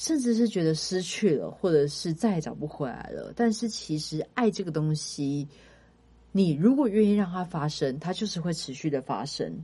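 Speaking at a moderate pace, a woman uses a fairly low pitch and a dark, mellow, somewhat breathy tone with lively intonation. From Taiwan, Kaohsiung. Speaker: podcast co-host, entertainment and arts industry worker. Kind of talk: casual chat.

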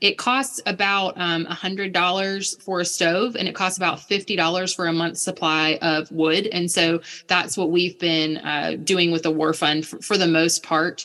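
A fairly low, bright, sharp female voice with an American accent, fairly slow and nearly pause-free, fairly even in intonation, over a very clean, silent background. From United States. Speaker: missionary. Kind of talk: interview conversation.

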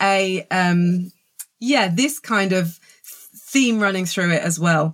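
A woman with a southern English accent speaks at a medium pitch with ordinary pitch variation. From southern England. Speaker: author and film journalist. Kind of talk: casual interview chat.

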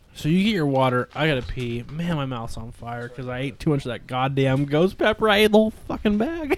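On a very clean recording with a silent background, a man with an American accent talks at a fairly quick pace, his fairly high pitch moving in very wide swings. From southern California. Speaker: podcast co-host. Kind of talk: casual chat. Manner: animated.

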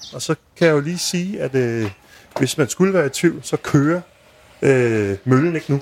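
A man at a fairly high pitch, ordinary pitch variation and a moderate pace. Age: 30s. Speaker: food podcast host. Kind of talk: interview.

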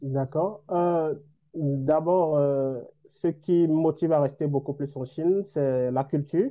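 A man with a fairly high voice talks at a very slow pace, with fairly even intonation. Long, frequent pauses break up his speech. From Benin. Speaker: doctoral student. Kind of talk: interview. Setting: video call.

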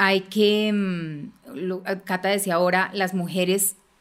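A woman uses a normal speaking voice with a medium pitch and fairly even intonation. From Colombia, Bogotá. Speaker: politician, congresswoman. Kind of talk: panel conversation.

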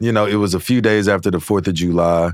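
A man speaks in a Louisiana accent. The recording is very clean, with a silent background. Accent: Louisiana Southern US. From Louisiana (Shreveport). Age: 20s. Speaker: country singer. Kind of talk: casual chat. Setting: studio.

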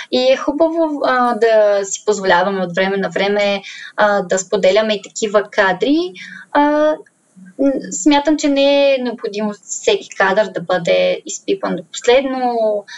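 Her intonation is lively and her pitch fairly high for a woman. She has a normal speaking voice and a fairly slow pace. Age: 20s. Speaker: social media influencer. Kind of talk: casual interview.

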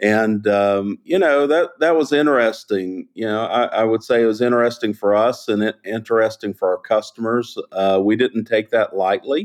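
A man with a Southern US accent talks at a moderate pace with hardly any pauses and very even loudness, in a dry, close sound with no echo and a quiet background. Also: medium pitch for a man, ordinary pitch variation. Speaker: chemical industry executive and polymer expert. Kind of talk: interview explaining technical topics. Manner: clear, easy to follow.

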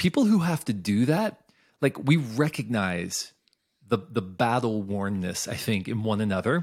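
Using an ordinary speaking voice, a man at medium pitch speaks fairly slowly with lively intonation. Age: 40s. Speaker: author and creativity consultant. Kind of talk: casual interview. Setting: video call.

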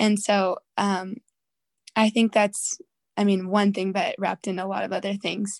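A woman talks in a normal speaking voice with medium pitch and fairly even intonation. The sound is dry and close, with no echo. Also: fairly slow pace. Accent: American. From Southern California. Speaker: worship singer and songwriter. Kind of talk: interview conversation.

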